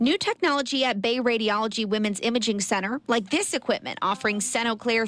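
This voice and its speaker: With noticeable background noise and a dry, close sound with no echo, a woman speaks at a fairly high pitch. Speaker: TV news anchor and reporter. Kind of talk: TV news anchoring and reporting.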